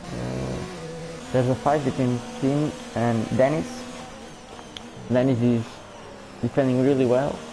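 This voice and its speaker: With music in the background and audible room echo, a man with a Portuguese accent talks at a fairly slow pace and medium pitch, fairly even in intonation, leaving long, frequent pauses. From Portugal. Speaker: sim racing league commentator. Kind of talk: live commentary. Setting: live stream.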